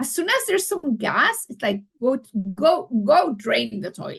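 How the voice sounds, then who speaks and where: Raised and projected, a woman's bright, sharp voice comes across with an animated tone, very wide pitch swings, and a fairly slow pace. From Mexico. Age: 60s. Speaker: children's health coach. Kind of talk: podcast interview.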